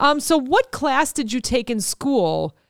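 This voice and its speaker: A woman talks fairly slowly with very wide pitch swings. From US Midwest. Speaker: podcast host. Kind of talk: casual chat.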